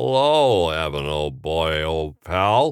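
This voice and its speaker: A put-on character voice is heard. It moves at a very slow pace. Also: man. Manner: offhand, jovial.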